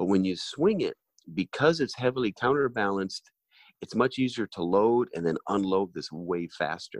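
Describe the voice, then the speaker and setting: In a quiet background, a man with an unremarkable speaking voice talks at a moderate pace with lively intonation. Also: fairly low pitch for a man. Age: 50s. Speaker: golf training aid company owner. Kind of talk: interview.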